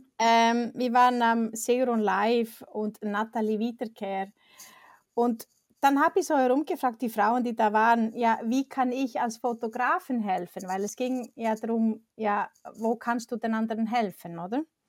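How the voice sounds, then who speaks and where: On a very clean recording with a silent background and a dry, close sound with no echo, a woman speaks fairly slowly in a fairly high voice with fairly even intonation. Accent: Icelandic. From Iceland. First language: Icelandic (speaking German). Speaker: professional photographer. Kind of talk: casual interview.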